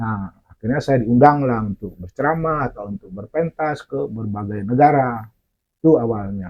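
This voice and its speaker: Loudness swings widely as a man talks at a moderate pace in a medium-pitched voice with lively intonation. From Aceh. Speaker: storyteller. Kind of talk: interview. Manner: halting.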